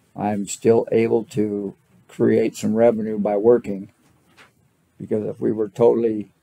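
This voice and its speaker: A man with a fairly low pitch and a dark, mellow tone speaks in a monotone, flat intonation. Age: 70s. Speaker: property owner appealing valuation. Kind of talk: testimony at hearing. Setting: county board hearing. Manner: halting.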